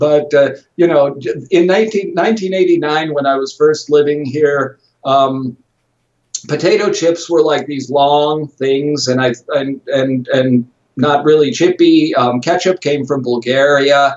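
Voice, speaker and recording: The pace is very slow, with ordinary pitch variation. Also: man, fairly high pitch for a man. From US, Chicago. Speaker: journalist and TV presenter. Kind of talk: interview. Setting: remote call from home office.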